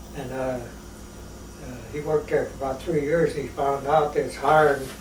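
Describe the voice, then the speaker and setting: Over noticeable background noise and audible room echo, a man with an American accent talks at a moderate pace in a fairly high pitch. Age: 80s+. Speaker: elderly interviewee. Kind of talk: oral history interview. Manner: halting, many fillers.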